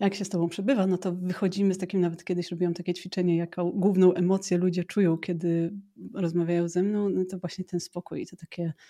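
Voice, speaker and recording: A woman speaks very fast with hardly any pauses, her medium-pitched voice dark and mellow in tone and monotone, flat in intonation, recorded dry and close with no echo. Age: 40s. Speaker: marketing strategist with ADHD. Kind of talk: casual interview conversation.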